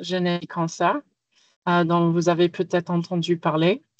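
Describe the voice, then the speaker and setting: A woman with an American accent speaks at a fairly low pitch, the sound dry and close with no echo. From United States. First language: English (speaking French). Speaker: genomics researcher and cancer patient. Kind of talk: webinar presentation.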